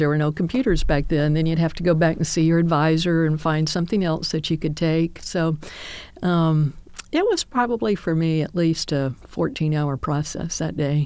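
A woman with an American accent talks at a fairly quick pace and a fairly low pitch, in an ordinary speaking voice. The recording is very clean, with a silent background. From US South, Homewood, Alabama. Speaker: retired army general. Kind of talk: interview reminiscence.

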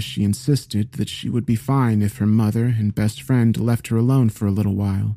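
The delivery has a solemn, dramatic tone and ordinary pitch variation, with noticeable background noise behind it. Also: man. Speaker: narrator reading a creepypasta. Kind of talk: scripted narration of a horror story read aloud. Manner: solemn, shifting into dramatic character voices.

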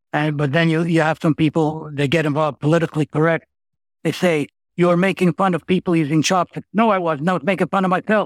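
The delivery is very fast, with fairly even intonation and a dry, close sound with no echo. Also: man, very even loudness. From Montreal, Quebec. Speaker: humorist and retired lawyer. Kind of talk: casual interview. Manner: halting, repeats words.

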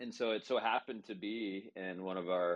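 A very deep, low male voice is heard. The man has an American accent. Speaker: business executive. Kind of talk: casual chat. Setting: audio chat room.

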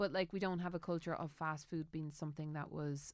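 A woman in a rural Irish accent, very deep and low in pitch, monotone and flat, at a fairly quick pace, on a very clean recording with a silent background. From Ireland, rural Tipperary. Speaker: podcast host. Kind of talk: casual chat.

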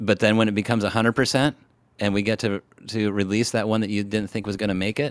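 With a West Coast accent, a man delivers his words at a very fast pace in a fairly low pitch with monotone, flat intonation. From Washington State. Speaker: zoo operations executive. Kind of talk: interview. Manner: halting.

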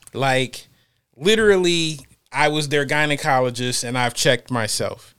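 A man with an American accent has a bright, sharp tone and a fairly high pitch. He keeps a moderate pace and ordinary pitch variation. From Ohio. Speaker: podcast host. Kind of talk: casual chat. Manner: animated.

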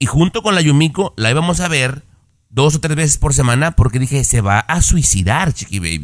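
In a normal speaking voice, a man with a fairly high pitch talks at a moderate pace with lively intonation, the sound dry and close with no echo. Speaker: radio co-host. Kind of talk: casual chat.

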